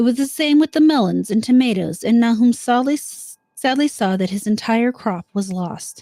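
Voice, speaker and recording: Her voice has a dark, mellow tone and a fairly high pitch, with lively intonation. The woman keeps a moderate pace with hardly any pauses. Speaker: live streamer. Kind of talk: horror story reading.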